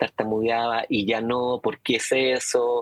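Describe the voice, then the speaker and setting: Noticeable background noise sits under a dry, close sound with no echo. A man speaks at a medium pitch with fairly even intonation. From Chile. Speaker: person who stutters, advocate and street-intervention activist. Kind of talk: interview answer. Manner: stuttering, with repetitions and hesitations.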